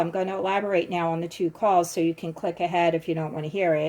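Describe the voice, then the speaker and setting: A woman speaks with a Philadelphia accent. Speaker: true crime YouTuber. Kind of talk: casual vlog commentary.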